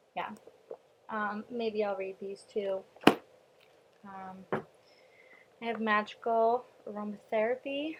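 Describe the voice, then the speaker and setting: A woman with an American accent talks at a very slow pace with long, frequent pauses, over noticeable background noise. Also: fairly high pitch for a woman, fairly even intonation. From US Northeast, Long Island, New York. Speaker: vlogger. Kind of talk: casual vlog. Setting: at home, mother's house. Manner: hesitant with many ums.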